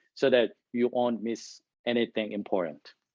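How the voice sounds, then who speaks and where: A man with a non-native accent talks at a fairly slow pace and a medium pitch. The sound is dry and close with no echo, and the background is quiet. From Korea. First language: Korean. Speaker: engineering manager giving a talk. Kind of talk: presentation to an audience. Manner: deliberate, trying to speak clearly.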